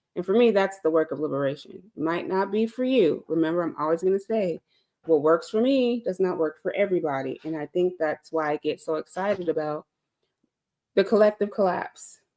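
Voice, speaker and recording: Her dark, mellow voice sits at medium pitch for a woman, with lively intonation and a fairly quick pace. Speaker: live-stream host, speaker on healing. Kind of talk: reflective live talk. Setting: live stream. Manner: conversational, hesitant with fillers.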